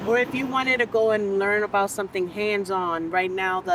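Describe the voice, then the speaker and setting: The speech moves at a moderate pace with fairly even intonation. Noticeable background noise runs underneath. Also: woman. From Brooklyn, New York (Bushwick), Dominican family. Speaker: community entrepreneur and educator. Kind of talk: interview conversation.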